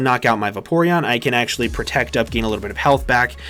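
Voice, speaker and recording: A man's lively intonation cuts through noticeable background noise. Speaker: Pokemon competitive player and YouTuber. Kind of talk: game strategy commentary. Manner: fast.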